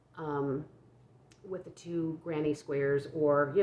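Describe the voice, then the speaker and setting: A woman speaks quietly with a very deep, low pitch. Her pitch variation is ordinary. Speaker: crochet vlogger. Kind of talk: casual chat. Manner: halting, many fillers and repeats; low-pitched, quiet.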